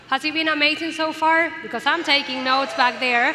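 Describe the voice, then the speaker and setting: A woman's high voice is raised and projected, moving at a moderate pace with ordinary pitch variation. Audible room echo and noticeable background noise come through. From Venezuela. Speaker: event host. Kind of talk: stage hosting. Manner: animated.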